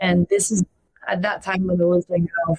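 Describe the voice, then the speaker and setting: Fairly quick speech with a French accent. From France. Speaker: podcast guest. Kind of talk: interview conversation.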